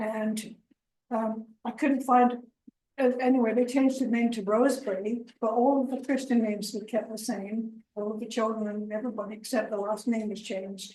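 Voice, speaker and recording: A woman speaks at a fairly high pitch with a dark, mellow tone and some breathiness. Her moderate-paced delivery has monotone, flat intonation. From England. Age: 70s. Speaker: family history presenter. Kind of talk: informal talk. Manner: halting.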